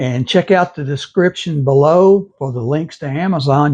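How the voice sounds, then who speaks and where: With a Texas accent, a man speaks at a moderate pace. His pitch variation is ordinary. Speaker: gaming video creator. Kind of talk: channel outro; gameplay commentary.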